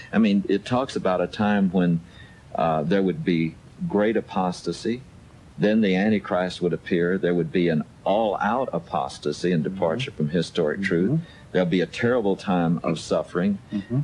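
With light background noise, a man with a very deep, low pitch speaks at a moderate pace, with ordinary pitch variation and very even loudness. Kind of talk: radio talk show discussion. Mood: earnest, explanatory. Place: studio.

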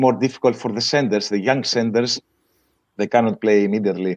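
In a dry, close recording with no echo, a man with a Greek accent speaks at a medium pitch with fairly even intonation. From Greece, Volos. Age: 50s. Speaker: water polo coach. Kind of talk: interview.

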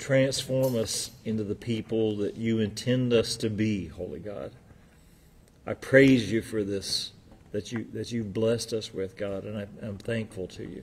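Speaking with a fairly low pitch and a somewhat breathy voice, a man keeps his intonation fairly even. His pace is fairly slow, with light background noise behind him. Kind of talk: prayer. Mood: calm, reverent. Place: hall.

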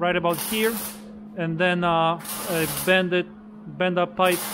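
A fairly slow pace over noticeable background noise. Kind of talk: casual explanation while working. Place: garage. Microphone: phone near.

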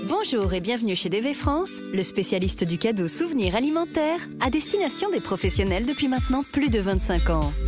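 With music in the background, a woman talks at a moderate pace, keeping her loudness very even and hardly pausing. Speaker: voice-over artist. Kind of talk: phone greeting and on-hold message. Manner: bubbly, upbeat.

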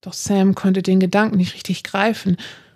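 A woman's monotone, flat delivery at medium pitch and moderate pace, dark and mellow in tone, with a dry, close sound, no echo, and a very clean recording against a silent background. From northern Germany, Hamburg. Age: 30s. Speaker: author. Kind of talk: reading aloud. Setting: hotel room.

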